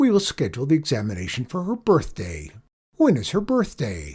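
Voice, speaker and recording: This man uses a put-on character voice at a fairly high pitch. He talks at a fairly quick pace. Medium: read story. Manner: formal, precise.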